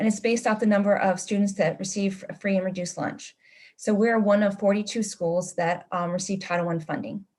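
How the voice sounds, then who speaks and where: Her voice is somewhat breathy. The woman speaks at medium pitch with ordinary pitch variation. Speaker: school administrator. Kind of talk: presentation at meeting. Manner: fast.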